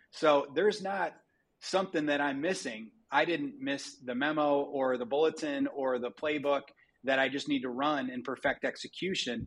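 A man with an American accent speaks at a fairly high pitch. The background is quiet. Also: ordinary pitch variation, moderate pace. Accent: Midwestern, comes and goes. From US Midwest, Dearborn, Michigan. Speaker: company CEO. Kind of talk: interview.

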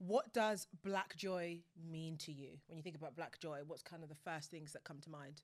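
A woman talks at a moderate pace in a fairly low voice with ordinary pitch variation. Her loudness swings widely. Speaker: podcast host. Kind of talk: casual chat. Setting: studio. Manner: animated.

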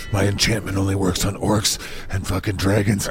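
A man growls in a put-on character voice at a fairly low pitch. He goes at a fairly quick pace over clear background noise. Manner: terse, menacing, hostile.

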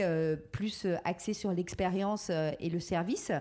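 A woman's voice at medium pitch. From France, Touraine. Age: 40s. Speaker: entrepreneur. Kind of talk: interview. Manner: hesitant, many fillers.

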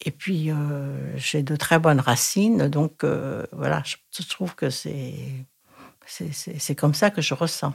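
A woman talks with vocal fry at a very deep, low pitch. Her pace is very slow. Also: ordinary pitch variation. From Thailand. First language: Thai (speaking French). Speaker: retired Thai teacher. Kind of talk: interview. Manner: halting.

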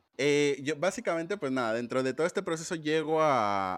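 At a moderate pace, a man with a plain, everyday voice uses lively intonation, captured on a very clean recording with a silent background and a dry, close sound with no echo. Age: 30s. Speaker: designer. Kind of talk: casual chat.

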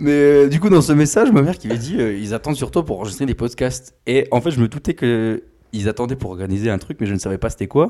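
A man's very fast speech at medium pitch, dark and mellow in tone, with lively intonation on a very clean recording against a silent background. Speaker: engineering student. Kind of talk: casual chat.

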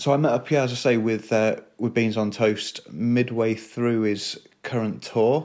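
Fairly slow and fairly even in intonation, a man speaks at medium pitch in an unremarkable speaking voice. The recording is very clean, with a silent background. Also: hardly any pauses. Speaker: podcast host. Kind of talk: scripted intro.

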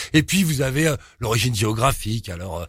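His voice is somewhat breathy. The man's pitch swings very widely as he talks. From Paris suburbs, Pantin (Seine-Saint-Denis). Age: 50s. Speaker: crime and tattoo author. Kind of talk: casual interview.

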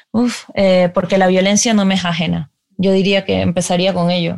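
A woman's fairly low voice in a monotone, flat intonation at a moderate pace, on a very clean recording with a silent background. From Ecuador. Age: 30s. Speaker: novelist. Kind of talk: interview.

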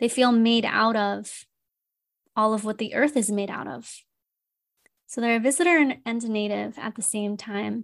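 On a very clean recording with a silent background, a woman with a fairly high pitch talks at a moderate pace, using ordinary pitch variation and long, frequent pauses. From United States. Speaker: integrative counselor and podcast host. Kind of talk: solo podcast monologue.

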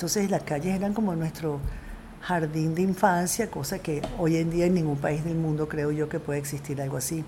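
The intonation stays fairly even. Noticeable background noise is present. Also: woman, very deep, low pitch for a woman, moderate pace. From Venezuela (Coro family). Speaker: film director. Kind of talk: interview.

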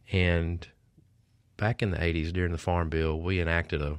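Against a quiet background, someone talks in a flat monotone with a Mississippi accent. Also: man. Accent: Mississippi Southern. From Mississippi, Oxford area. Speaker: state director of a conservation group. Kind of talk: interview.

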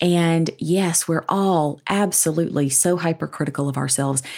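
In a Southern US accent, a woman speaks at a moderate pace on a very clean recording with a silent background. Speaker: business school educator and author. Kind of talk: interview conversation.

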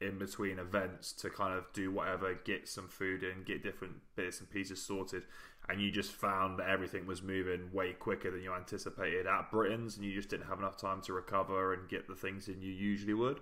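Speaking at a fairly quick pace, a man has a very deep, low pitch. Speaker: podcast host. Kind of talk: casual interview chat. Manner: animated, repeats words, enthusiastic.

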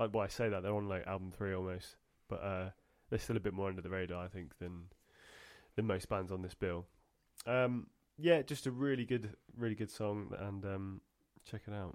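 An animated tone at a moderate pace, with ordinary pitch variation and long, frequent pauses. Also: man, fairly low pitch for a man. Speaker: podcast co-host. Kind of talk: casual chat. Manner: animated, bantering.

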